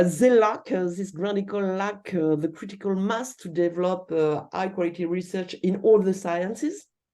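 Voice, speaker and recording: With a French accent, a woman speaks at medium pitch in a dark, mellow tone. Her pace is moderate with hardly any pauses and ordinary pitch variation, over a quiet background. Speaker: university researcher. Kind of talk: lecture Q&A. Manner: halting, many fillers.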